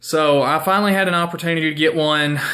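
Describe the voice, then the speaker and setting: Someone speaks with a strong Southern US accent on a very clean recording with a silent background. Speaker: guitar player. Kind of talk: casual talk to camera.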